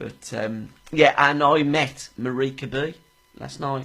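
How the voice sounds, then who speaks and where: A man speaks with a Birmingham accent. His tone is animated. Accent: Birmingham (Brummie). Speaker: radio co-host. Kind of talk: casual chat.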